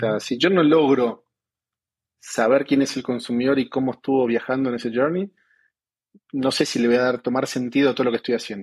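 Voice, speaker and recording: A man speaks at a medium pitch with fairly even intonation. His pace is fairly quick, broken by long, frequent pauses. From Argentina. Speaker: e-commerce business director. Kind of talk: interview. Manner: halting, many fillers.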